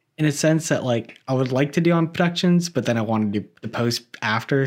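A man with an American accent has an ordinary speaking voice and ordinary pitch variation, at a fairly quick pace. The recording is very clean, with a silent background. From Florida, West Palm Beach area. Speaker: filmmaker and video editor. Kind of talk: casual chat.

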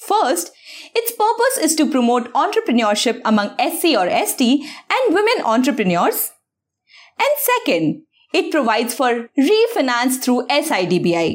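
Her loudness stays very even while a woman's high voice makes very wide pitch swings. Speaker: news presenter for exam prep. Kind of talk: newsreading, scripted bulletin of current affairs. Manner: formal, brisk and even, steady clear delivery.

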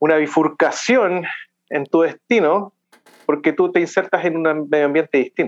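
Heard in a dry, close sound with no echo, a man with a normal speaking voice talks at a fairly high pitch with ordinary pitch variation and very even loudness. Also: moderate pace. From Chile, Santiago. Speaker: accountant, immigrant. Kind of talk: interview.

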